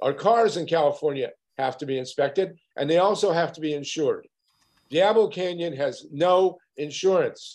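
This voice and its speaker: High pitch from a man, ordinary pitch variation, and a moderate pace. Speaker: anti-nuclear campaigner. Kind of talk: press conference talk. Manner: animated. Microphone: video call.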